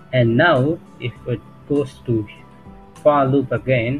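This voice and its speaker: With music playing in the background, the speaker talks at a very slow pace with fairly even intonation. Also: man. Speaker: programming tutor. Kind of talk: tutorial explanation. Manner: occasional stuttering, hesitant.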